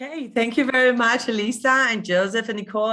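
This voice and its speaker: The tone is bright and sharp, with an Israeli accent. Intonation stays fairly even at a moderate pace. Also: woman. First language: Hebrew. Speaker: tour guide and educator. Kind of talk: virtual guided tour presentation. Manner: halting, with many fillers.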